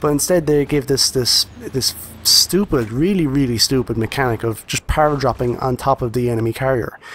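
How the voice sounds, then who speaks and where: This man has a normal speaking voice at a medium pitch, with ordinary pitch variation. He keeps a moderate pace with hardly any pauses. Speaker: gaming YouTuber. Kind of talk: video game review commentary over gameplay. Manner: casual, friendly, direct to audience.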